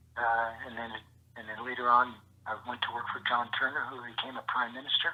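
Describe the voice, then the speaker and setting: A man with a Canadian accent speaks at a fairly quick pace in a medium pitch, his intonation monotone and flat. His loudness swings widely, and background noise is noticeable. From Canada, London, Ontario. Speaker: former senator. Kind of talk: interview storytelling. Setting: phone call. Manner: halting, repetitive.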